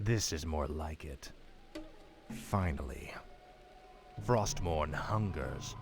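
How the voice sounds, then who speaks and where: With clear background noise behind him, a man puts on a character voice with a very deep, low pitch and lively intonation, speaking very slowly with long, frequent pauses. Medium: video game. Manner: cold, commanding.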